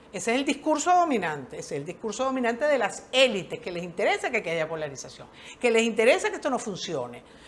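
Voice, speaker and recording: Talking very fast in a fairly high pitch, a woman sounds animated, her voice making very wide pitch swings. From Venezuela. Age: 60s. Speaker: social worker. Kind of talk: interview.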